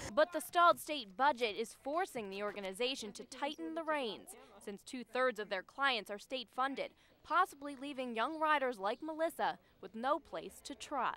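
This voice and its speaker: A woman speaks in a raised, projected voice with a bright, sharp tone and high pitch. Her intonation is lively, her loudness swings widely, and her pace is moderate. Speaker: TV news reporter. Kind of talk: TV news report.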